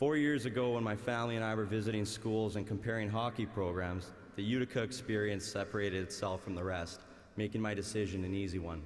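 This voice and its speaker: Speaking with a Canadian accent at a very fast pace, a man uses a fairly low voice and fairly even intonation, with audible room echo. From Canada, Winnipeg, Manitoba. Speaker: valedictorian, college graduate and former hockey player. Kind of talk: commencement speech. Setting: arena stage with large audience.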